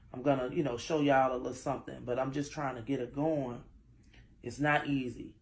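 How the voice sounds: In a room with audible echo, a woman talks at an extremely low pitch with fairly even intonation.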